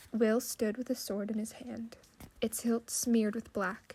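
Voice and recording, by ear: This is reading aloud in a natural voice. The delivery reads as natural.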